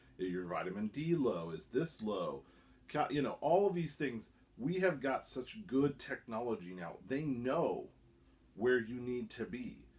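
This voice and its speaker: Speaking fairly slowly, a man with a medium-pitched voice makes very wide pitch swings. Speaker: YouTuber reviewing supplements. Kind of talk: casual vlog monologue. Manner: halting, self-correcting.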